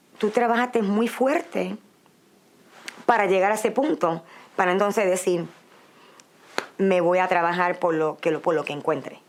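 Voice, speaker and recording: With a Puerto Rican accent, a woman speaks at a medium pitch. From Puerto Rico. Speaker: migrant interviewee. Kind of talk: interview testimony.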